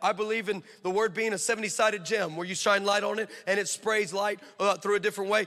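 A man with an American accent talks at a very fast pace in a high pitch. His raised, projected voice has an animated tone. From California. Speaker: traveling preacher and missionary. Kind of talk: sermon. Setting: church with live audience.

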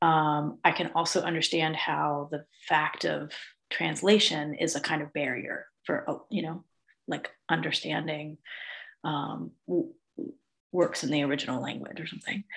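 A woman with an American accent speaks at a very deep, low pitch with vocal fry, fairly even intonation, a fairly slow pace and long, frequent pauses. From United States. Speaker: poet and teacher. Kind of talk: casual interview.

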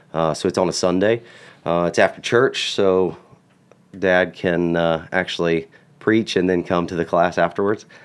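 This man has a very deep, low voice with an American accent. He keeps a moderate pace and fairly even intonation on a very clean recording with a silent background. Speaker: firearms instructor and cattle farmer. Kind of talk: casual chat. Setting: studio.

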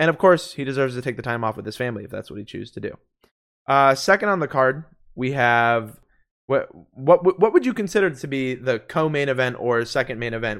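A man's plain, everyday voice at medium pitch, with lively intonation, big swings in loudness and a fairly quick pace, on a very clean recording with a silent background. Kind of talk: casual chat.

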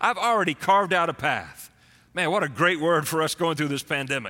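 A man's high voice at a moderate pace, with ordinary pitch variation and a bright, sharp, animated tone. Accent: Texan. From Texas. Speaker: pastor. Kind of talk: sermon. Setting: church streamed online.

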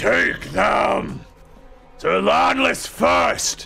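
Shouting in a put-on character voice, a man bellows with a raspy, booming, very deep tone. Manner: roaring.

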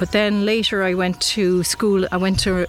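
A woman's medium-pitched voice over music in the background. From Ireland (born Derry, raised Cork from about 10). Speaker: sculptor. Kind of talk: interview. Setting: outdoors.

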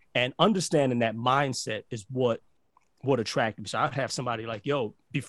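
Fairly quick speech with ordinary pitch variation comes through in a very clean, silent recording with a dry, close sound and no echo. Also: man. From Barbados, raised in Brooklyn. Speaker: podcast host and entrepreneur coach. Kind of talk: casual interview chat. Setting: radio studio. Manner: animated, repetitive false starts.

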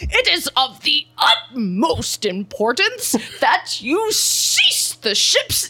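The put-on character voice is high-pitched and moves at a very slow pace. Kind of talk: formal, pompous. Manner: grand, commanding.

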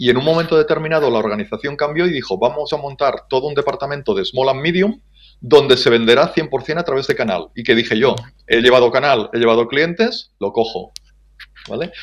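An unremarkable speaking voice belongs to a man, fairly high in pitch. He talks at a fairly quick pace with lively intonation. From Spain, Ebro Delta (Catalonia). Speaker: business development manager. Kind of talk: interview.

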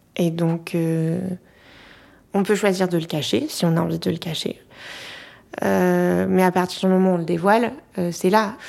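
On a very clean recording with a silent background, a woman speaks at a fairly slow pace with fairly even intonation and long, frequent pauses. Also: fairly low pitch for a woman. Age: young. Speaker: marriage and family counselor. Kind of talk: interview.

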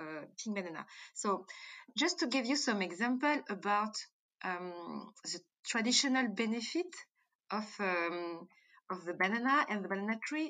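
A woman with a bright, sharp, medium-pitched voice talks at a moderate pace over a quiet background. Her pitch swings very widely, and she leaves long, frequent pauses. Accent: French. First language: French. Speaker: entrepreneur and founder of a banana-based cosmetics company. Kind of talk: interview answers. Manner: halting, with fillers and hesitations.

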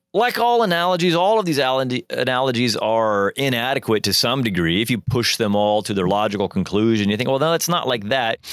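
Medium-pitched man with a Midwestern American accent and very wide pitch swings, on a very clean recording with a silent background. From US Midwest, Joplin, Missouri. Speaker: podcast host and college dean. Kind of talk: solo lecture-style reflection.

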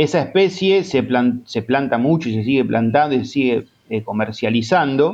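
A man with a medium pitch and lively intonation talks at a moderate pace. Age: 40s. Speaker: native plant advocate. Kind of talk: interview. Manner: halting, many repetitions and fillers.

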